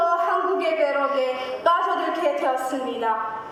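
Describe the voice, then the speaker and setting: Amid audible room echo and noticeable background noise, a woman speaks at a very slow pace with lively intonation. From Djibouti. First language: not Korean (Djibouti, self-taught Korean) (speaking Korean). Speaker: speech contest contestant. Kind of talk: oratory speech contest. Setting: stage with audience. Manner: formal.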